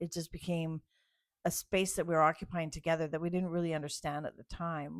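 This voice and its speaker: The woman's voice sits fairly low in pitch, captured in a very clean recording with a silent background. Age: 60s. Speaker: author. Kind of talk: casual chat. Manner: halting.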